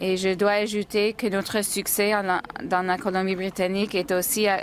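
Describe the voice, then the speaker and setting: Her intonation monotone and flat, a woman speaks at medium pitch. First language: English (speaking French). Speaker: nursing association president. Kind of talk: formal report. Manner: halting.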